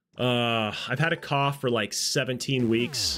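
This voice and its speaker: Music plays in the background as a man talks. His voice is medium in pitch and his pace fairly slow. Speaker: video game streamer. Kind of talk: live stream chat. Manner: casual, conversational.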